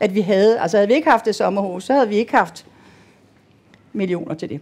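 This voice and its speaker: A woman at a very fast pace, medium in pitch, with lively intonation. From Denmark. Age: 60s. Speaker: patient. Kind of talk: panel interview. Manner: halting.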